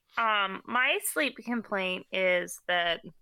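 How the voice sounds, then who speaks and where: Her tone comes across bright and sharp. The woman's pitch sits in the medium range. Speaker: podcast host. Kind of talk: casual chat. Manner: joking, chatty.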